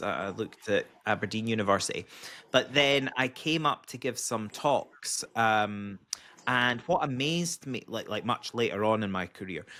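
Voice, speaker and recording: Over a silent background in a very clean recording, a man talks at a moderate pace with a bright, sharp tone, medium pitch and ordinary pitch variation. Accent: Scottish. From Scotland, Edinburgh. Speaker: podcast host, engineer. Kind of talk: podcast interview.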